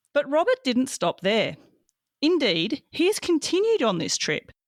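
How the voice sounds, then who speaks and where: A woman's voice with very wide pitch swings comes through dry and close with no echo, in a very clean recording with a silent background. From Australia. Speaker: podcast host. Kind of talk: scripted introduction.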